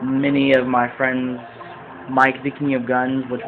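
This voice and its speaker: A man talks over noticeable background noise. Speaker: video game let's player. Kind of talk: gameplay commentary. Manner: hesitant, many fillers. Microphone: quiet, volume needs turning up.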